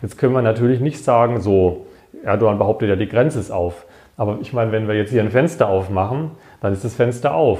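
Dark and mellow in tone, a man's somewhat breathy voice sits at medium pitch. He talks at a fairly quick pace with ordinary pitch variation. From Baden-Württemberg, Germany (Wiesloch). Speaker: member of parliament and professor. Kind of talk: casual interview.

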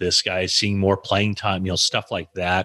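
A man with an American accent and a very deep, low pitch, in a dry, close sound with no echo and a quiet background. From US. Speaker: sports journalist. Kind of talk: interview.

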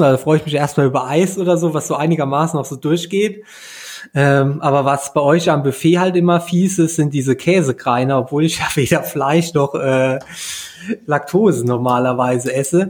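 At a moderate pace, a man with a plain, everyday voice speaks fairly high in pitch, with ordinary pitch variation. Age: 30s. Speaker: podcast host, triathlete. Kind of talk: casual interview.

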